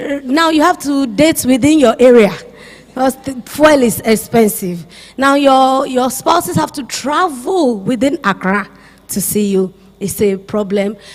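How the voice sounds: A woman speaks at a fairly slow pace with a high pitch. Her intonation is lively.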